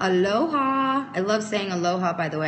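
A woman is speaking while light noise sits in the background. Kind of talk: casual live stream chat. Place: home room. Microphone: phone near.

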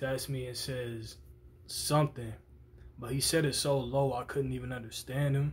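A man's voice comes through somewhat breathy, with fairly even intonation. There is light background noise. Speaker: vlogger. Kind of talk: casual vlog chat, storytelling. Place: home room. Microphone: phone near.

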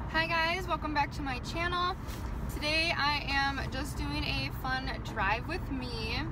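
Through loud background noise, a woman talks at a moderate pace. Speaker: vlogger. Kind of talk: casual vlog chat. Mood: playful, upbeat. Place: car. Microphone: phone near.

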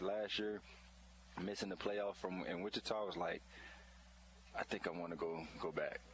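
Fairly quick, fairly even speech in an American accent, with noticeable background noise. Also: man. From Florida. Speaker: football player. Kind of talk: halftime interview.

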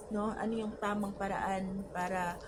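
A woman speaks at a very slow pace and medium pitch, her intonation monotone and flat. Noticeable background noise and audible room echo are present. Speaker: mother interviewed by her son. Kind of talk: interview. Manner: halting.

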